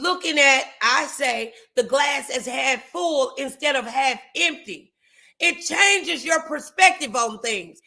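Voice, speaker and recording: A woman's high, bright, sharp, projected voice, lively in intonation yet very slow in pace. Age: 50s. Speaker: talk show host and preacher. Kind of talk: casual chat. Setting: livestream.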